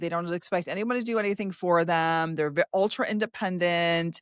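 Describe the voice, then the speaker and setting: A woman with an animated tone and a fairly low pitch at a moderate pace, in a dry, close sound with no echo on a very clean recording with a silent background. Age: 60s. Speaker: podcast host. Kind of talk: casual interview chat. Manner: animated, many false starts.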